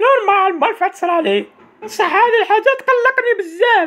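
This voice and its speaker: A squeaky, extremely high-pitched put-on character voice carries the whole clip. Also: moderate pace. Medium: fan dub.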